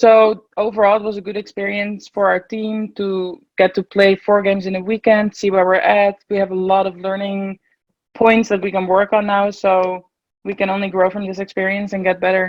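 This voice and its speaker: A woman's medium-pitched, monotone, flat delivery in a Dutch accent. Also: moderate pace. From Netherlands, Nieuwegein near Utrecht. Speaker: college water polo player. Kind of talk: interview.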